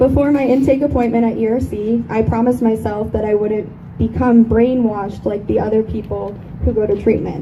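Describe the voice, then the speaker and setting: Amid audible room echo and noticeable background noise, a woman speaks in a shaky, fairly high voice at a fairly quick pace. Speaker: eating disorder survivor speaker. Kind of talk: speech.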